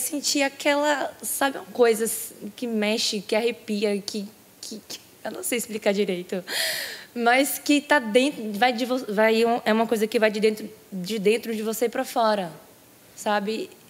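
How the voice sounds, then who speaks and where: With noticeable background noise, a woman speaks at a fairly slow pace in a fairly high pitch, with ordinary pitch variation and big swings in loudness. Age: 20s. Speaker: baptism candidate. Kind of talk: testimony. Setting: church.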